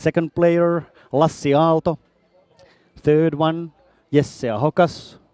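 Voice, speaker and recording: Speaking at a very slow pace with long, frequent pauses, a man with a Finnish accent has a fairly high pitch, a dark, mellow tone and fairly even intonation. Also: dry, close sound with no echo. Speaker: sports commentator. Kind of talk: live commentary. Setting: bowling hall.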